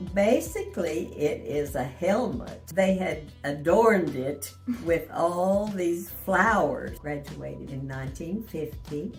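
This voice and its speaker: A woman at a very slow pace, her loudness swinging widely, with music playing behind her. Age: 80s+. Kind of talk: interview answer.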